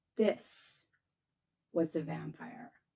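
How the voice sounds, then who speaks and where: A raspy, put-on character voice from a woman, fairly low in pitch. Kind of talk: whimsical fairy-tale read-aloud. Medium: read story.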